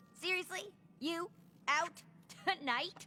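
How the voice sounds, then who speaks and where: An extremely high, cartoonish character voice delivers its lines in an energetic tone. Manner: energetic, excitable.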